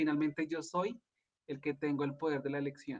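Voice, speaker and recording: Using an ordinary speaking voice, a man talks fairly high in pitch, his pitch varying in an ordinary way. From Colombia. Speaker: life coach and energy therapist. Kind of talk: casual interview chat.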